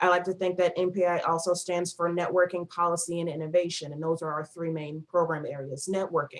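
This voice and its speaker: A woman with an American accent speaks at a fairly quick pace in a fairly low pitch, her intonation monotone and flat, with hardly any pauses. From northern US. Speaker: nonprofit project coordinator. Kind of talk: presentation. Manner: fast.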